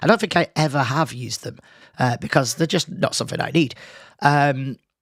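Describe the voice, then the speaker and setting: The sound is dry and close, with no echo. The speech moves at a fairly quick pace. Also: man, fairly high pitch for a man, ordinary pitch variation, very clean recording, silent background. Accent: British. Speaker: podcast host. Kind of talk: casual solo podcast monologue. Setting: home studio, live stream. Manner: casual, hesitant with fillers.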